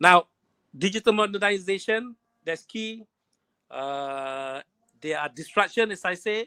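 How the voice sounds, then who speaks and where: Raising and projecting his voice, a man speaks at a fairly slow pace with a high pitch, a bright, sharp tone and lively intonation. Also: dry, close sound with no echo. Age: 60s. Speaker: webinar presenter on entrepreneurship. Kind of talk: webinar presentation. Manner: hesitant, with frequent fillers.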